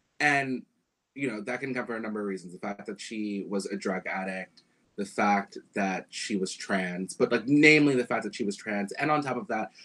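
This man has a normal speaking voice, fairly low in pitch, with ordinary pitch variation at a moderate pace. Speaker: singer and musician. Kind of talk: casual chat. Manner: casual, laid-back.

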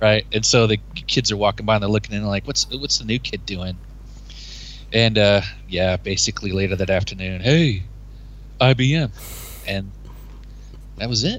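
This speaker has an American accent and vocal fry, with ordinary pitch variation. The moderate pace is broken by long, frequent pauses. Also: man, fairly low pitch for a man. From North Texas. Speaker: college English professor. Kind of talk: casual chat. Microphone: poor audio quality.

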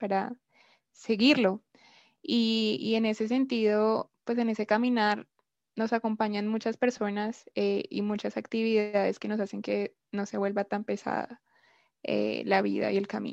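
At a fairly slow pace, the voice comes through dry and close with no echo over a quiet background. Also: woman. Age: 20s. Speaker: anthropology student. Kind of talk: casual podcast discussion. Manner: hesitant, with fillers.

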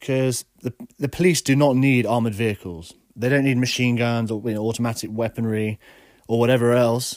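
With an English accent, a man talks at a fairly quick pace in a medium pitch and fairly even intonation. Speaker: podcast host. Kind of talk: solo opinion monologue.

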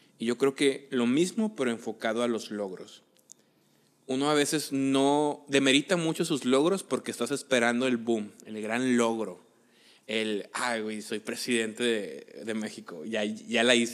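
Speaking in a plain, everyday voice, a man talks at a fairly slow pace. His pitch is medium and varies in an ordinary way. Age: 30s. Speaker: podcast co-host. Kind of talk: casual chat.

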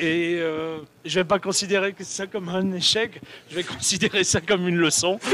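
Over noticeable background noise, a man speaks in a high pitch with monotone, flat intonation at a moderate pace. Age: 40s. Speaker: software company developer. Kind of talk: casual chat. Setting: live stream at an event.

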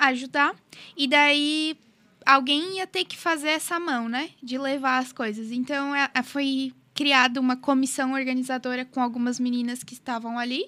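In a very clean recording with a silent background, a woman uses a raised, projected voice with a bright, sharp tone and a high pitch. Her intonation stays fairly even while her loudness swings widely. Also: fairly slow pace. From southern Brazil, Criciúma. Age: 20s. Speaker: law student, volunteer group member. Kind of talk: casual chat.

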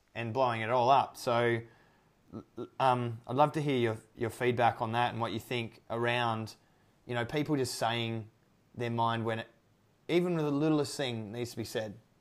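Over music in the background, a man with a medium pitch speaks at a moderate pace, with fairly even intonation and long, frequent pauses. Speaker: podcast host. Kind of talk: casual interview. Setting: remote call, evening.

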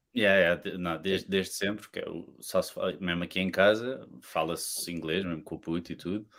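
The recording is very clean with a silent background. A man with a very deep, low pitch speaks at a moderate pace with fairly even intonation. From Portugal. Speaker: podcast guest. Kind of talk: casual chat.

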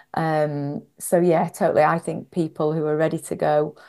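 Against a quiet background, a woman talks in a very deep, low pitch with monotone, flat intonation. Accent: Northwest English. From northwest England. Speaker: executive coach and author. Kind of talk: interview.

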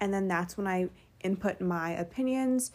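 A woman with an American accent speaks at a moderate pace in a dark, mellow tone with ordinary pitch variation, on a very clean recording with a silent background. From New York, Westchester. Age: 20s. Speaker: podcast host and college student. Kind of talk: casual solo podcast monologue. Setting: bedroom.

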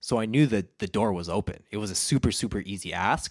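A man is speaking. He talks with a Western Canadian accent. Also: very clean recording, silent background. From Canada (Alberta). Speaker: videographer and entrepreneur. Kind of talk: podcast interview.

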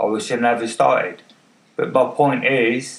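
A man's voice against noticeable background noise. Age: 50s. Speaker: podcaster with MS. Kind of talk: casual monologue. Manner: halting, many fillers. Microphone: far from the mic.

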